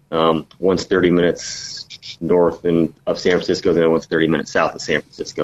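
A man speaks with an American accent at a fairly quick pace. His pitch is very deep and low. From California. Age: 30s. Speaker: golf instructor. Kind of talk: casual interview.

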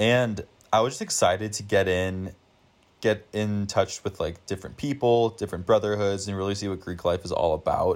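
In an ordinary speaking voice, a man with an American accent talks at a moderate pace, fairly low in pitch with fairly even intonation. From US, Denver, Colorado. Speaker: university student. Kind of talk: casual interview. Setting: remote recording.

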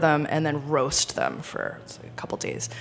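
Noticeable background noise sits behind a woman who talks fairly slowly. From Rhode Island, US. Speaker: sommelier. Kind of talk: casual chat. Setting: studio.

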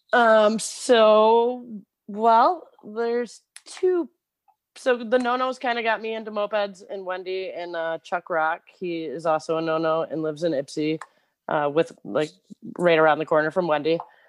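A woman with a Michigan accent at a fairly slow pace, medium in pitch, with lively intonation. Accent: US Midwest (Michigan). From Michigan, Clio. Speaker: moped shop worker, former teacher. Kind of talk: casual interview.

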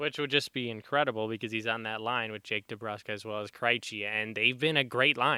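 With an ordinary speaking voice and an American accent, a man talks at medium pitch and a fairly quick pace, with fairly even intonation and hardly any pauses. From Chicago. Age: 20s. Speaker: broadcasting student and podcast co-host. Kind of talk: casual chat. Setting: studio.

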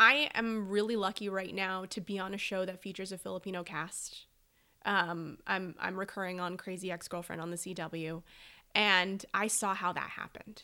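In an American accent, a bright, sharp voice carries fairly even intonation in a very clean recording with a silent background. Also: woman, medium pitch for a woman, moderate pace. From Southern California (Oak Park). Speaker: actress and comedy writer. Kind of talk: casual interview chat.

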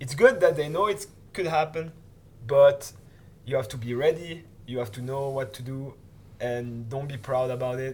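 A somewhat breathy voice at a moderate pace, with ordinary pitch variation, long and frequent pauses, and big swings in loudness. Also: man, medium pitch for a man. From Switzerland. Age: 20s. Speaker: freeride skier and film producer. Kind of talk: casual interview.

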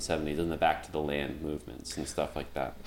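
The man's voice carries noticeable vocal fry. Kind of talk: casual chat. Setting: video call.

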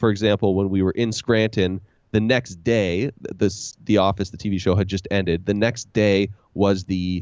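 In a normal speaking voice, a man with a Canadian accent talks at a fairly quick pace, his fairly low pitch kept to fairly even intonation. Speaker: podcast host and leadership trainer. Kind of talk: casual interview chat.

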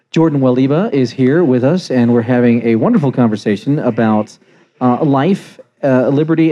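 An unremarkable speaking voice from a man at medium pitch, moderate in pace, with ordinary pitch variation and very even loudness. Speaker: radio podcast host. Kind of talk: casual interview. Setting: live at press club with audience.

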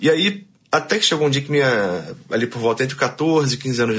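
The man speaks with lively intonation. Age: 30s. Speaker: barber and rock musician. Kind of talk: interview. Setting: studio. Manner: animated.

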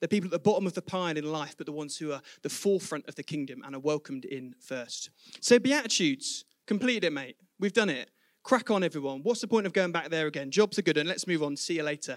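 Very fast speech in an English accent, with lively intonation, big swings in loudness and a dry, close sound with no echo. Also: man, fairly high pitch for a man. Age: 20s. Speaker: preacher. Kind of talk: sermon. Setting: church.

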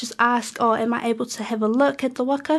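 Her intonation stays fairly even at a moderate pace. The woman has a high voice and a New Zealand accent. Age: young. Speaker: student and waka crew member. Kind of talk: radio interview. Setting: radio studio.

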